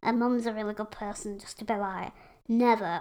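Delivered at a moderate pace, the speech comes in a Yorkshire accent with monotone, flat intonation. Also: woman. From West Yorkshire, England. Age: 20s. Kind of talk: casual interview chat.

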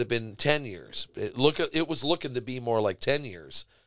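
A man talks at a moderate pace in an ordinary speaking voice. His pitch is medium with ordinary variation. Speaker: musician. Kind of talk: casual interview. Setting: studio.

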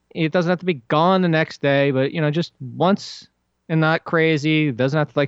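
Here is a normal speaking voice with a fairly even intonation. It moves along at a moderate pace. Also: man. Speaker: sports podcast host. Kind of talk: casual sports chat.

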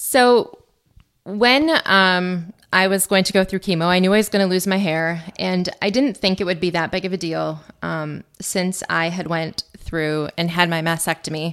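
A woman with an Upper Midwest accent at a fairly slow pace. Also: medium pitch for a woman, ordinary pitch variation. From central Wisconsin. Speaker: cancer survivor, math teacher. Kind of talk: interview testimony. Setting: studio.

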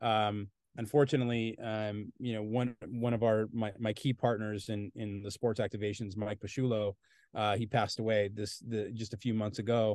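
A man's fairly low voice in a monotone, flat intonation at a moderate pace. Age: 40s. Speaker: comic book writer and Angels fan. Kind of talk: casual chat. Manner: halting, many fillers and repeated words.

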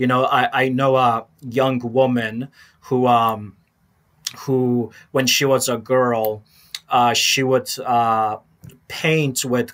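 A man with an American accent, medium pitch and monotone, flat intonation. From Chicago, Polish American family. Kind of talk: interview conversation.

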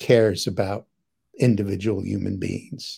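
On a very clean recording with a silent background, the voice carries a dark, mellow tone. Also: man. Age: 70s. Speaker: physicist and psychotherapist. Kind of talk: interview. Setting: live stream.

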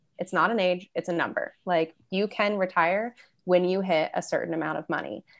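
A woman speaks in a plain, everyday voice with an American accent, her pitch medium and her intonation fairly even. She talks at a moderate pace against a quiet background. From Michigan, US Midwest. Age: 20s. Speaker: money coach. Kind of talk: podcast interview.

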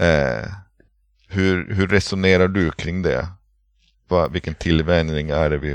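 At a fairly slow pace, a man talks in a very deep, low pitch with vocal fry and ordinary pitch variation. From northern Sweden, Pite River area. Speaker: podcast co-host with burnout. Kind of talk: casual chat. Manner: halting, many hesitations.

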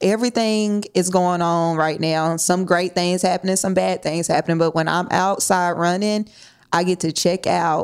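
Here a woman speaks with a fairly low pitch and monotone, flat intonation. The recording is very clean, with a silent background. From Nashville, Tennessee. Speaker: teacher, basketball coach and running group founder. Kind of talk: casual interview.

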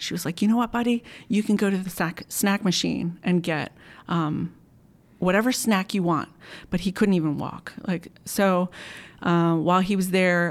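A normal speaking voice with an American accent, ordinary pitch variation and a moderate pace on a very clean recording with a silent background. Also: woman. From US, Maryland (Montgomery County). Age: 40s. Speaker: churchgoer sharing healing testimony. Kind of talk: testimony.

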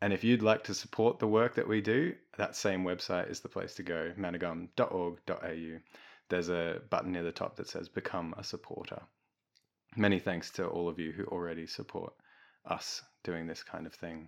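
A man's very deep, low voice at a moderate pace with fairly even intonation, over a quiet background. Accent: Australian. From Melbourne, Australia. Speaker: podcast host. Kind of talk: scripted outro; casual discussion.

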